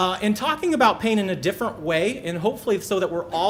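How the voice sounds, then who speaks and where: Talking very fast, a man keeps his intonation lively. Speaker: physician, pain specialist. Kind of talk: presentation talk. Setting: stage with audience. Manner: animated.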